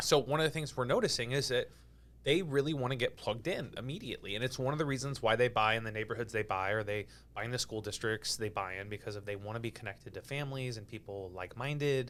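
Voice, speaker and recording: A very fast-talking man with an American accent, medium pitch and ordinary pitch variation. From California. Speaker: real estate agent and podcast host. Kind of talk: podcast interview.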